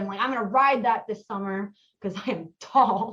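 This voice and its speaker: A woman with an American accent speaks at a fairly quick pace and a fairly high pitch. It is a plain, everyday voice. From US Midwest, Mason, Ohio. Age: 20s. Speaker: podcast guest, roller coaster enthusiast. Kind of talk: casual interview, storytelling.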